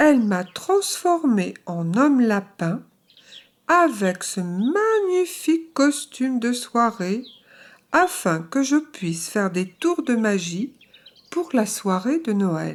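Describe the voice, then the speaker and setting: A female-sounding put-on character voice, fairly high-pitched with very wide pitch swings at a very slow pace, on a very clean recording with a silent background. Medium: read story. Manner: proud.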